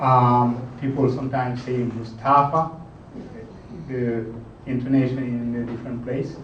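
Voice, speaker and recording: Amid noticeable background noise and audible room echo, a man at medium pitch speaks at a fairly slow pace in a monotone, flat intonation with long, frequent pauses. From Senegal, southern rainforest region. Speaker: lightning talk presenter, Linux user. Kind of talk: technical presentation. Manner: hesitant, many fillers.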